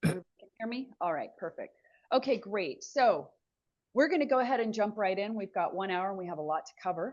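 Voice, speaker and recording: A woman's medium-pitched voice at a very fast pace, with lively intonation and big swings in loudness, against a quiet background. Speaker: webinar host, fundraising agency head. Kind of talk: webinar presentation.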